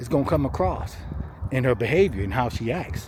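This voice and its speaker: Over noticeable background noise, a man with a medium pitch talks at a fairly quick pace with very wide pitch swings. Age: 60s. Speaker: vlogger. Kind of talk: casual monologue. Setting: self-recorded on camera. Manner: heavy breathing; casual, conversational.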